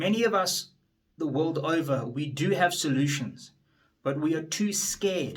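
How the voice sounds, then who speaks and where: Somewhat breathy, a man talks at a fairly slow pace in a fairly high pitch with ordinary pitch variation. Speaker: attorney and politician. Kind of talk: motivational speech. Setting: standing before an audience.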